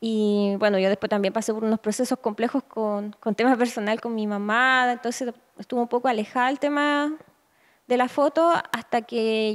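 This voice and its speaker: Speaking in a Chilean accent, a woman is heard over a quiet background. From northern Chile. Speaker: photographer. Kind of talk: interview. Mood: reflective, calm. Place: home room. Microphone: handheld.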